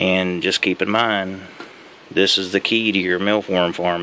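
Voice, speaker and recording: There is noticeable background noise. Over it, a man talks in a very deep, low pitch with monotone, flat intonation. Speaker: hobbyist mealworm breeder. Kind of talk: tutorial. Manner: casual, rambling with restarts; fast.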